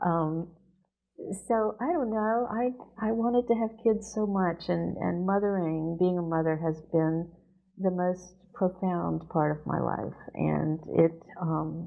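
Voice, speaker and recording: Music plays in the background as a woman with an American accent speaks at a very slow pace. She has a fairly low pitch with ordinary variation. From US South. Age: 60s. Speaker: poet and professor. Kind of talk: interview. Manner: halting.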